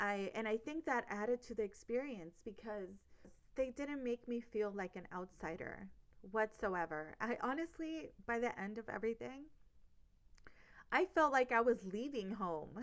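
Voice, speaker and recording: With an American accent, a woman speaks at a moderate pace in a fairly high, animated voice with lively intonation. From US, Los Angeles. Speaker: podcast host. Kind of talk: casual monologue.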